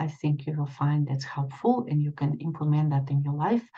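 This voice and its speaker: Her pitch very deep and low, a woman speaks in a dark, mellow tone that is somewhat breathy. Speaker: extension educator and leadership trainer. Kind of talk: presentation. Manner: halting, many fillers.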